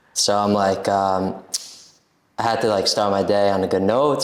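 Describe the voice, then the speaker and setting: A man with an American accent speaks at a fairly quick pace and a fairly low pitch. His intonation is monotone and flat, and room echo is audible. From US Northeast, Brooklyn, New York. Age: 20s. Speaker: coffeehouse owner. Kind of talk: casual chat.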